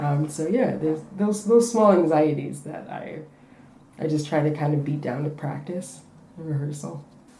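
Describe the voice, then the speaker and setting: Amid noticeable background noise and audible room echo, a woman with a very deep, low pitch and ordinary pitch variation speaks at a moderate pace, her loudness swinging widely. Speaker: refugee artist and spoken word poet. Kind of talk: interview. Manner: halting.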